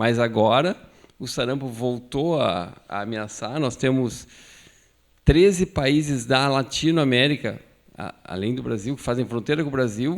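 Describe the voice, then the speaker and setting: The voice is an unremarkable speaking voice. It moves at a fairly slow pace. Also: man, medium pitch for a man, ordinary pitch variation, big swings in loudness. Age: 60s. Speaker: physician, pediatric immunization speaker. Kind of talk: medical lecture.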